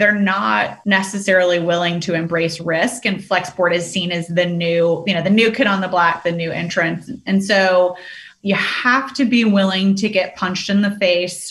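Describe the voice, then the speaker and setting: A woman speaks at a medium pitch and a moderate pace, with hardly any pauses and ordinary pitch variation. Audible room echo and noticeable background noise fill the recording. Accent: American. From US South, Richmond, Virginia. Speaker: sales executive. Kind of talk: interview. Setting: video call.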